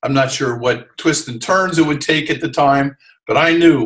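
Over a quiet background, a man with an American accent talks at a fairly quick pace with ordinary pitch variation. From New Jersey, US. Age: 60s. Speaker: sailor and TV sailing commentator. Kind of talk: interview. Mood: relaxed, reflective. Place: home room. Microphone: webcam.

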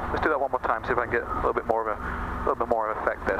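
A man talks at a very fast pace, the sound dry with no echo and noticeable background noise behind him. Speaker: flight instructor. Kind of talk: instructional commentary. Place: plane. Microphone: headset.

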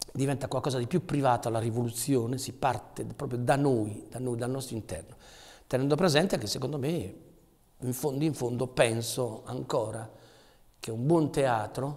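A somewhat breathy man at a moderate pace, with long, frequent pauses, ordinary pitch variation and a quiet background. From Potenza, southern Italy; moved to Asti at 13. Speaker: theatre actor, poet and artist. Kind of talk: interview answer. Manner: poetic, emotional. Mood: thoughtful, warm. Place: workshop.

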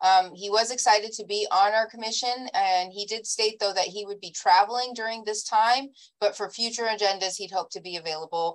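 The intonation of this woman's speech is fairly even. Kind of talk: reading a bio statement in a meeting. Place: home room. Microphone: video call.

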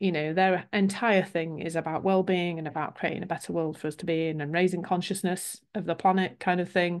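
Over a quiet background, a woman with a British accent and a fairly low pitch speaks at a fairly quick pace in a flat monotone. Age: 50s. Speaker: business coach. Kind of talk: webinar presentation. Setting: video call. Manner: warm, chatty.

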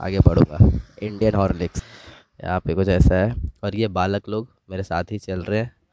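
A man's voice, dry with no echo, with noticeable background noise. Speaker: travel vlogger. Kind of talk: casual vlog chat. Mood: relaxed, playful.

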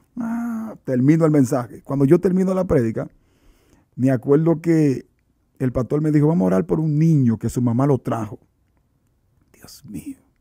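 Against a quiet background, a man with a fairly high, dark, mellow voice moves at a moderate pace, with very wide pitch swings, big swings in loudness and long, frequent pauses. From Dominican Republic (San Cristóbal); Dominican Republic. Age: 30s. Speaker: evangelist preacher. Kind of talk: religious testimony interview. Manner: animated. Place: studio. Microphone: studio mic.

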